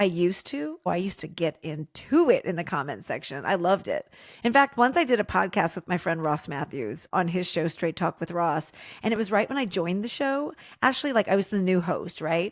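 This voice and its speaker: In a very clean recording with a silent background and a dry, close sound with no echo, a woman with a medium-pitched voice talks at a fairly quick pace in an animated tone with very wide pitch swings. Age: 40s. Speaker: TV and podcast creator. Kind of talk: casual interview chat.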